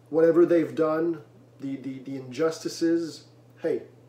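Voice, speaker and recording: There is noticeable background noise behind this speaker. He is a man whose voice sits at a fairly high pitch. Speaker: religious video commentator. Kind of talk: preaching monologue. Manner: loud at times; emphatic, repeats words.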